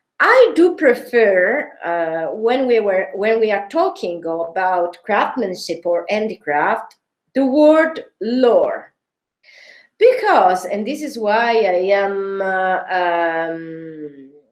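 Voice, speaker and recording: A woman's medium-pitched voice with a Sicilian accent, lively intonation and a very slow pace. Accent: Sicilian Italian accent in English. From Sicily, Italy. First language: Italian. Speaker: design history researcher. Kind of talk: academic seminar talk. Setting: online seminar. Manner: halting, many filler sounds.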